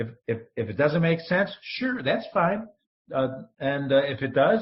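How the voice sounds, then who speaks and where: Somewhat breathy and fairly high in pitch, a man speaks at a fairly slow pace with very wide pitch swings. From upstate New York (Rochester). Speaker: entrepreneur, former broadcaster. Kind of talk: interview podcast. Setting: call. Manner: animated.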